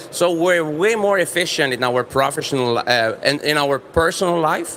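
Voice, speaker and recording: The speaker has a Quebec accent, a moderate pace and ordinary pitch variation. Loudness stays very even despite noticeable background noise. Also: man, fairly high pitch for a man. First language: French. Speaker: business presenter. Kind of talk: trade fair presentation.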